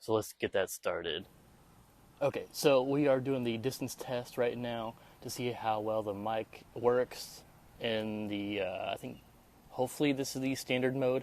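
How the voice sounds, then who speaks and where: A fairly slow pace with fairly even intonation. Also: man, medium pitch for a man. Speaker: tech reviewer. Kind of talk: product review vlog. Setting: outdoors. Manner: normal conversational volume; halting, many fillers.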